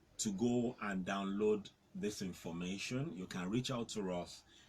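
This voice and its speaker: A man with a fairly low pitch talks at a fairly slow pace against noticeable background noise. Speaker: farmer and agriculture consultant. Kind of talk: interview. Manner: halting.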